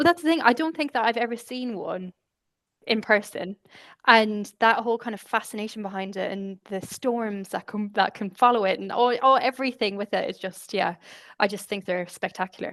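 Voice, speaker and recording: Recorded with a dry, close sound with no echo against a quiet background, this speaker has an Irish accent, a moderate pace and ordinary pitch variation. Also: woman, fairly high pitch for a woman. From Ireland, Galway. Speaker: communications specialist. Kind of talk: casual chat.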